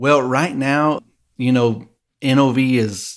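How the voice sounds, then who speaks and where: In a West Texas accent, a man speaks with monotone, flat intonation on a very clean recording with a silent background. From West Texas (Midland). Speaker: oilfield facility manager. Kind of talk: interview. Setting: studio. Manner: halting.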